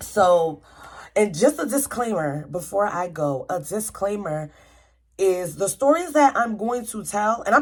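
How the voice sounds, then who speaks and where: Her tone animated, a woman at a medium pitch talks with very wide pitch swings. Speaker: vlogger. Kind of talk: casual vlog monologue. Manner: stuttering.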